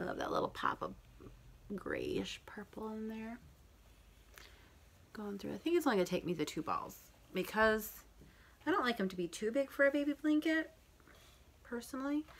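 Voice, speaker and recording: The voice moves through very wide pitch swings, broken up by long, frequent pauses. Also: woman. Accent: American. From Michigan. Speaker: knitting and crochet podcaster. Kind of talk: casual talk to camera. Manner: fast.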